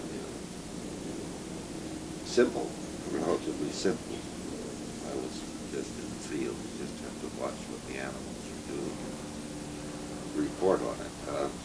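A man with an American accent, long, frequent pauses, and loud background noise. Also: moderate pace. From San Francisco, California. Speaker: wildlife biologist. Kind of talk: interview answer. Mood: relaxed, reflective, wry. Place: home room.

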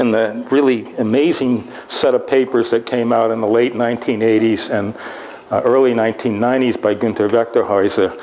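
Over light background noise, a man talks with very even loudness and a monotone, flat intonation. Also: moderate pace. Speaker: university lecturer. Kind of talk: lecture. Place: hall.

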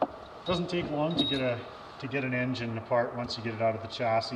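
Fairly quick speech with ordinary pitch variation over loud background noise. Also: man. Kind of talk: tutorial. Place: garage. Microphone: camera far.

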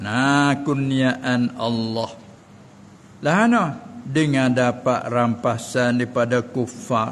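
Light background noise sits behind the speech. The pace is very slow and the intonation fairly even. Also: man. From Southern Thailand. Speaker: religious teacher. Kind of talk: religious lecture. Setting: Islamic boarding school. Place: hall. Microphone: podium.

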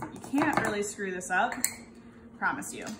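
Through loud background noise, a woman talks with ordinary pitch variation. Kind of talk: tutorial. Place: kitchen. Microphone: camera far.

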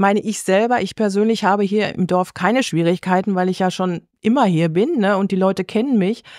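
Very cleanly recorded over a silent background, a woman with a normal speaking voice moves at a fairly quick pace with hardly any pauses and fairly even intonation. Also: medium pitch for a woman. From Westphalia, Germany (near Unna). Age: 60s. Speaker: florist and association board member. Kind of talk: interview.

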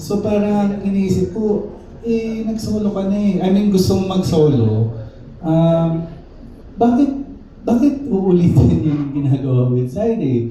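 At a fairly slow pace, a man with a high pitch makes very wide pitch swings amid audible room echo and noticeable background noise. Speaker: band member at press conference. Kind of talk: press conference Q&A.

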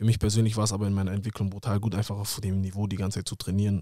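A man speaks at a very fast pace with a fairly low pitch and a dark, mellow tone. The sound is dry with no echo, and the background is quiet. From Germany, Hamburg; Germany. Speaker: professional footballer; podcast guest. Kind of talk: casual interview. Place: studio. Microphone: studio mic.

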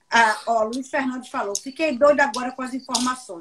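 A woman is speaking. Her pitch is high. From Pernambuco, Brazil. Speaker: interviewer and communications professional; interviewer. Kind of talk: live interview. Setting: online live stream. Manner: animated. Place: home room. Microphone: video call.

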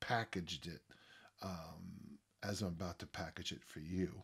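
A man's fairly slow speech comes through over a quiet background. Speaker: podcast host, strength coach. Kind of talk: podcast monologue. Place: home room.

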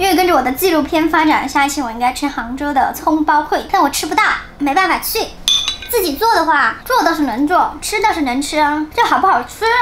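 A woman's high voice at a fairly quick pace, with light background noise. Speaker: food vlogger. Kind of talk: casual vlog chat. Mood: cheerful, playful. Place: home room.

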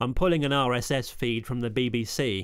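An upbeat man on a very clean recording with a silent background. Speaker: hospital radio engineer. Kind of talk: demo walkthrough with sample radio DJ links. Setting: screen recording walkthrough. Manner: upbeat, chirpy DJ patter in the sample links.

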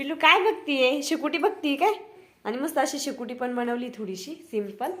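A woman's high voice with lively intonation. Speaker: vlogger and mother. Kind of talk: casual vlog chat. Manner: baby talk to infant.

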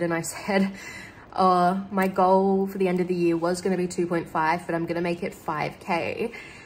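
Over light background noise, a woman speaks with an Australian accent at a medium pitch. Her pace is fairly slow and her intonation fairly even. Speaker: lifestyle vlogger. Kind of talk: casual vlog talk to camera. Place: home room. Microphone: phone near.

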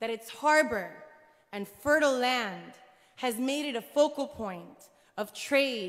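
A woman's lively intonation at a very slow pace, against a quiet background. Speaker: public speaker. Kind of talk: speech. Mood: earnest, emotional. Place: church. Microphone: podium.

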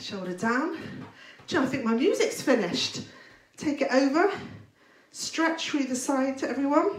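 A woman speaks at a moderate pace in a high voice. The room echo is audible. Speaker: fitness instructor. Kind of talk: live workout instruction. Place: kitchen.

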